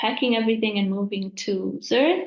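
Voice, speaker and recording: With fairly even intonation, a woman keeps to a medium pitch. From Italy. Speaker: environmental scientist, former researcher. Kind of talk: panel webinar self-introduction. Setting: video call webinar.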